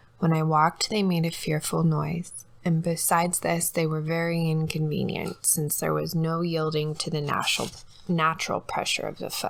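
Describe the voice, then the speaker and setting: A soft-spoken woman talks at a moderate pace with a fairly low pitch. Her intonation is monotone and flat. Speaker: ASMR reader. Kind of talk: ASMR audiobook reading. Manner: soft-spoken, sleepy, relaxing.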